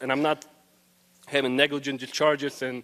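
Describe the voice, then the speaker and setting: A man with a Russian accent talks at a fairly quick pace and a fairly high pitch, his intonation fairly even and the sound dry and close with no echo. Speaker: student. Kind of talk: public forum comment. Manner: hesitant with fillers.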